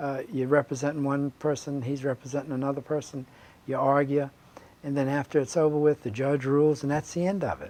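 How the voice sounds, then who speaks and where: A man with an American accent talks fairly quickly in a fairly high voice with a dark, mellow tone and a monotone, flat intonation. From Virginia, Portsmouth. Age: 70s. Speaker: state legislator and lawyer. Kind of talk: interview. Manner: halting, many fillers.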